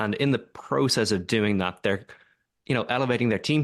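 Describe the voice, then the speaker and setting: The pace is fairly quick. The background is quiet. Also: man. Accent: Irish. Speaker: tech company co-founder and executive. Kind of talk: podcast interview. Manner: hesitant, many fillers.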